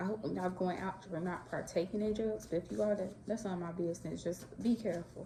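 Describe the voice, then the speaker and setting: Noticeable background noise sits behind a woman with an American accent. Her voice is medium in pitch with fairly even intonation. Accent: Chicago Southern. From Chicago. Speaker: astrology and tarot content creator. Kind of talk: casual talk to camera.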